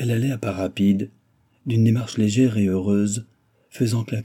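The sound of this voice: An unforced reading voice carries the lines with fairly level intonation.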